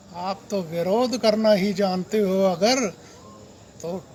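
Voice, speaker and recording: The speaker is a man with a high pitch. Noticeable background noise runs underneath. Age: old. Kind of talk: political appeal to camera.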